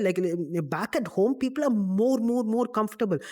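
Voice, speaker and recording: Lively intonation marks this man's high-pitched voice, which has a dark, mellow tone and a moderate pace. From UAE (Dubai), Indian family. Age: 20s. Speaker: podcaster, finance graduate. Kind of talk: casual chat. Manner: animated.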